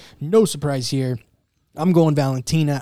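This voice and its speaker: Speaking with an American accent, a man has a fairly high pitch and a dark, mellow tone. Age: 30s. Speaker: MMA podcast host. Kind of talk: casual chat.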